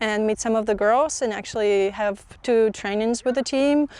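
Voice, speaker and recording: Fairly high pitch from a woman, her intonation fairly even. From Ukraine. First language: Ukrainian. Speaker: professional footballer. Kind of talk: interview.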